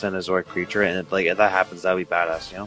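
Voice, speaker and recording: A man's fairly even-toned voice over music in the background. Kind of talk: casual podcast discussion.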